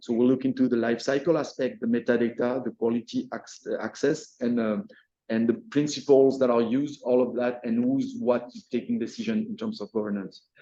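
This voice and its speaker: At a fairly quick pace with hardly any pauses, a man speaks at a medium pitch with ordinary pitch variation and a dark, mellow tone. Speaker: workshop organiser presenting. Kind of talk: presentation. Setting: hybrid workshop with audience. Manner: fast; halting, many repetitions.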